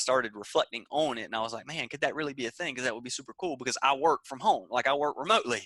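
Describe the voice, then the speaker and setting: A man with a Southern US accent talks at a very fast pace, his pitch fairly high and his tone bright and sharp. The sound is dry and close with no echo, over a quiet background. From US South, Georgia. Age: 20s. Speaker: entrepreneur. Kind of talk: interview. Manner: animated.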